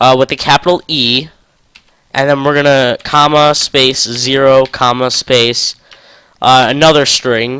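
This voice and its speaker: Bright and sharp in tone, the voice holds a flat monotone and very even loudness at a fairly slow pace, in a dry, close recording with no echo. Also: man, medium pitch for a man. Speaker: coding tutorial youtuber. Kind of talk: tutorial. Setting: home recording. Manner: halting, stuttering; casual.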